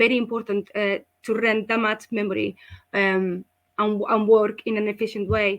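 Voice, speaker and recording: Speaking in a Spanish accent at a moderate pace, a woman keeps a fairly high pitch and a monotone, flat intonation. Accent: Spanish accent, obvious. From Spain. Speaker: school representative. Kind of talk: online presentation.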